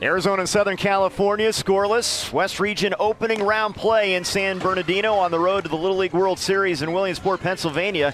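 A man talks at a very fast pace in a high voice, with hardly any pauses, very even loudness, fairly even intonation and noticeable background noise. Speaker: sports commentator. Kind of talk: live TV sports commentary, play-by-play. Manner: polished, broadcast-style.

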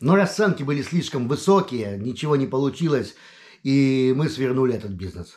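Against a quiet background, a man speaks at a medium pitch with very wide pitch swings. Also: moderate pace. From Lithuania, Vilnius; Lithuania. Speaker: video blogger. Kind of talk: casual personal monologue. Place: home room. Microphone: webcam.

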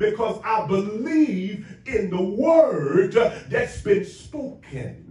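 Audible room echo surrounds a man's voice. His tone is animated and his intonation lively. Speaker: preacher. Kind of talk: sermon. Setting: church. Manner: animated, call-and-response preaching. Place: church.

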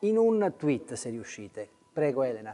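At a moderate pace, a man speaks with a dark, mellow tone and a fairly high pitch. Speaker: interviewer, journalist. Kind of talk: interview. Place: hall. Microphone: lapel.

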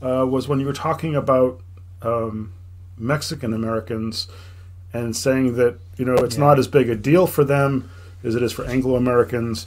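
A man speaks at a moderate pace. His pitch shows ordinary variation. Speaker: podcast host. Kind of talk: casual chat. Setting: video call. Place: home room. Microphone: headset.

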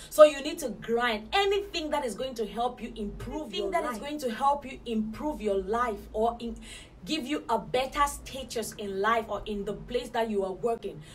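Amid light background noise, a woman speaks at a moderate pace with lively intonation and big swings in loudness. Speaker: motivational vlogger. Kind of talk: motivational talk to camera. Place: home room.

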